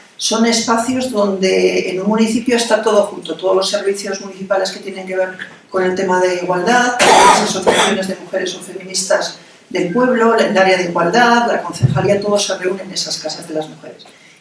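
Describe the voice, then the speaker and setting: A woman talks at a fairly quick pace in a medium pitch, with audible room echo and noticeable background noise. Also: ordinary pitch variation, big swings in loudness. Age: 60s. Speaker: anthropologist and poet. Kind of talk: lecture.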